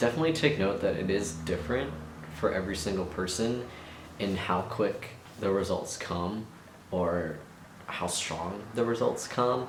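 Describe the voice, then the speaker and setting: Lively intonation at a moderate pace, broken by long, frequent pauses, with noticeable background noise and audible room echo. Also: man, fairly low pitch for a man. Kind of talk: casual vlog monologue. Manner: hesitant, many fillers.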